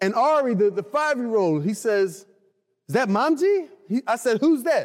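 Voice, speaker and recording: The speech moves at a fairly slow pace while the pitch swings very widely. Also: man. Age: 40s. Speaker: pastor. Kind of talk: sermon. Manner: halting.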